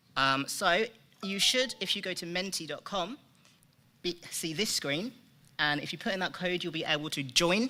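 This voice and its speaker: In a British accent, a man speaks at a moderate pace with lively intonation and a bright, sharp tone on a very clean recording with a silent background. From UK. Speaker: software developer. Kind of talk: conference presentation. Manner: frequent ums.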